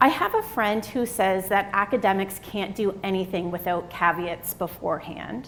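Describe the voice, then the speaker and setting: A woman's medium-pitched voice at a fairly slow pace, with noticeable background noise. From Atlantic Canada, Halifax. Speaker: psychology professor, keynote speaker. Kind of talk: keynote lecture. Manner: energetic.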